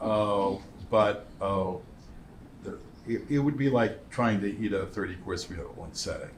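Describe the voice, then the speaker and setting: A man with a fairly low pitch and ordinary pitch variation talks at a fairly slow pace, somewhat breathy, with long, frequent pauses and audible room echo. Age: 70s. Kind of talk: interview. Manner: halting, with many fillers.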